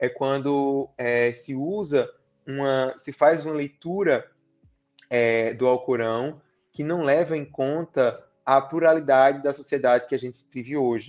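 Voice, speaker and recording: An unremarkable speaking voice from a man, fairly high in pitch, fairly slow, with fairly even intonation. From Brazil, Paraíba (Campina Grande). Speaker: international relations scholar. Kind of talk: interview. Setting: live-streamed podcast.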